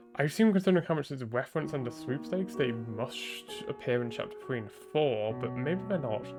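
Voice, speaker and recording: Speech at a fairly quick pace plays over music in the background. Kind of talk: casual rambling commentary. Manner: hesitant, many filler words.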